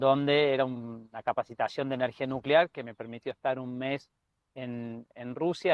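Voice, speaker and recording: Medium in pitch, a man speaks at a moderate pace with fairly even intonation. His loudness swings widely. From Argentina, Córdoba (Río Cuarto). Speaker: energy researcher, doctoral student. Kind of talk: radio interview.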